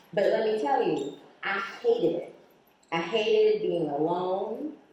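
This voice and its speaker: A woman's fairly high voice with an American accent, at a fairly slow pace, with audible room echo. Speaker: attorney and keynote speaker. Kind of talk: keynote speech. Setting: stage with audience. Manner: animated.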